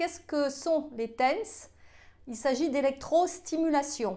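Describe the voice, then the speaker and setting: Talking at a very slow pace, a woman uses a high pitch with ordinary pitch variation. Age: 50s. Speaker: health video creator. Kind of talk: casual vlog talk. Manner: halting, many hesitations.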